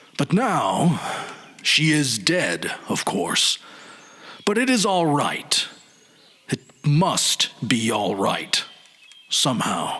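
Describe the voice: A man's put-on character voice at medium pitch, bright and sharp in tone, very slow with long, frequent pauses and very wide pitch swings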